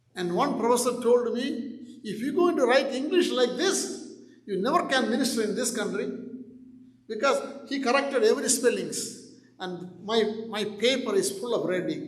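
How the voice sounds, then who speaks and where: Noticeable background noise and audible room echo surround a man speaking at a moderate pace. His pitch is extremely high, with ordinary pitch variation. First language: not English. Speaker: pastor. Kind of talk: sermon.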